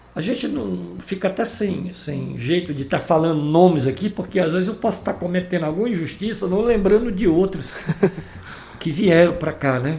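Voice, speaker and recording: This man has a high pitch and lively intonation. He speaks at a moderate pace against noticeable background noise. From Ceará, Brazil (Santa Quitéria area). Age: 60s. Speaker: musician and former band leader. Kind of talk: interview. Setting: podcast recording.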